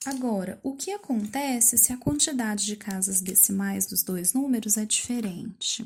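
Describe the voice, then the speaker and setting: A woman's fairly high voice, fairly slow, with lively intonation. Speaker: math teacher. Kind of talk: lesson for pupils.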